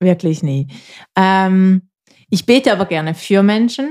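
Recorded very cleanly against a silent background, a woman with a medium pitch and a Swiss German accent speaks at a fairly slow pace with lively intonation. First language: Swiss German (speaking German). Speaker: podcast co-host. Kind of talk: casual chat.

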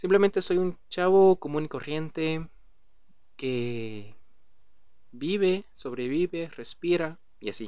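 A man with a dark, mellow tone and fairly high pitch speaks very slowly, with long, frequent pauses and lively intonation. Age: 20s. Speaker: podcast host. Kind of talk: casual monologue.

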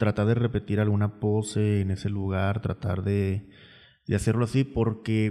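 This man speaks slowly-ish, at a fairly slow pace, in a fairly low pitch with a dark, mellow tone and monotone, flat intonation. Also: very even loudness, very clean recording, silent background. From Mexico, Tuxpan. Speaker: podcast host and photographer. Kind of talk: casual chat.

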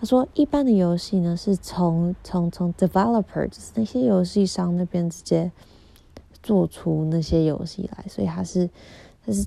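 With big swings in loudness and lively intonation, a woman talks at a moderate pace in a dark, mellow tone and a fairly low pitch. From Taiwan, Kaohsiung. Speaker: podcaster and event organizer. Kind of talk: casual monologue. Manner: code-switching Mandarin and English; halting, repetitive.

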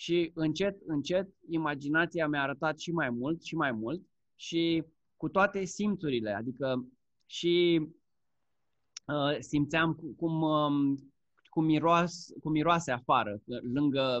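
Against a quiet background, a man talks at a very slow pace. His pitch sits fairly high, with ordinary pitch variation. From Romania. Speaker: Amazon seller and course instructor. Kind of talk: casual interview chat.

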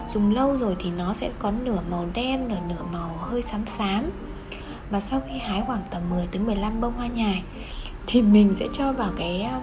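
Music plays in the background as a woman speaks at a fairly slow pace. Audible room echo colors the recording. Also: medium pitch for a woman, ordinary pitch variation. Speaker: podcast host. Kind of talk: personal storytelling.

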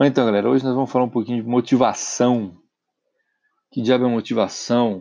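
A man's medium-pitched voice moves along at a fairly quick clip. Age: 30s. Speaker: podcast host. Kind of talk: solo motivational monologue. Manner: casual and animated.

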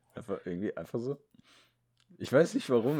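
The man's tone is animated. His intonation is lively. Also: very clean recording, silent background. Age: young (18). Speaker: podcast co-host. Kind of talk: casual chat. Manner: animated, frequent laughter.

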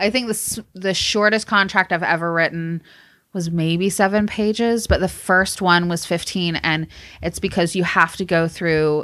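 The tone is bright and sharp, the pace fairly slow, and the intonation fairly even. The recording is very clean with a silent background. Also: woman. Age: 30s. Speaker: music industry professional. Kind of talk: casual chat.

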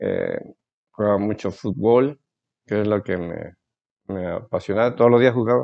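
A man with a fairly low pitch and ordinary pitch variation talks at a moderate pace, leaving long, frequent pauses. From Veracruz, Mexico. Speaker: ophthalmologist. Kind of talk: interview. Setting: doctor's office. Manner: halting.

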